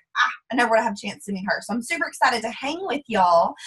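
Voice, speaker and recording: A woman speaks with a strong Texas accent. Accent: thick Texas drawl. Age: 20s. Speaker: network marketing distributor. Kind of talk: testimony on a group call. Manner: fast.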